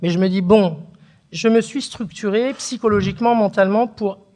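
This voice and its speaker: A woman's dark, mellow voice at a moderate pace. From northern France (Picardy, Beauvais, Oise). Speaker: writer, daughter of a harki. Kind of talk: conversation at a public talk.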